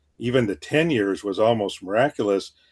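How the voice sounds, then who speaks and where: This is a man with a medium pitch. He talks at a fairly quick pace. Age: 60s. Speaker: retired veterinarian. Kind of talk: interview. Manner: halting.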